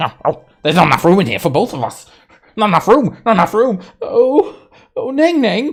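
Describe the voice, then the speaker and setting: A put-on character voice at a fairly quick pace. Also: man, high pitch for a man. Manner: distressed, repetitive, pleading.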